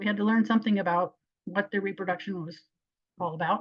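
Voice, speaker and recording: Talking at a very fast pace, a woman keeps a medium pitch with ordinary pitch variation. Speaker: wildlife biologist. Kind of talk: lecture.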